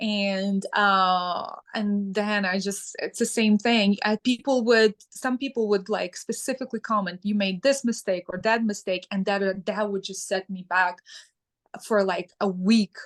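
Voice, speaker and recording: In a Ukrainian accent, a woman speaks at a medium pitch and a fairly slow pace with fairly even intonation, the sound dry and close with no echo and the background quiet. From Ukraine. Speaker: sustainability advocate. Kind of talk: interview. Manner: halting, with fillers.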